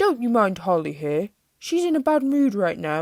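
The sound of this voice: An unforced reading voice carries over a quiet background.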